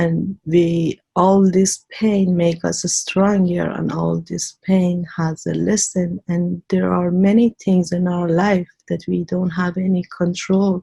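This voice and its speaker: A woman's somewhat breathy, dark, mellow voice, fairly low in pitch, with an Iranian accent, monotone, flat intonation, a very slow pace and a dry, close sound with no echo. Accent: Iranian (Persian) accent in English. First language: Persian. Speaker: immigrant widow, interview guest. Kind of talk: interview, life story.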